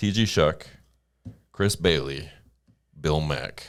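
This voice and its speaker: Recorded very cleanly against a silent background, a man speaks with a very deep, low pitch and ordinary pitch variation. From Calgary, Canada. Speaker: podcast host. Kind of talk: casual chat.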